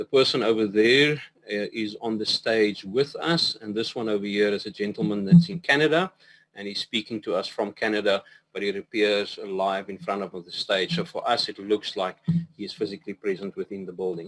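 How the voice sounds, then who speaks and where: Recorded dry and close with no echo, a man with a fairly low voice speaks fairly quickly, showing ordinary pitch variation and big swings in loudness. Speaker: professor. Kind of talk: lecture. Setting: video call. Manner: fast.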